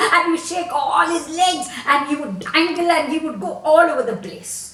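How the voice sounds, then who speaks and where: With noticeable background noise behind her, a woman speaks in a raised, projected voice at an extremely high pitch with lively intonation. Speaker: storyteller. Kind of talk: children's folk tale storytelling. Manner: animated, expressive.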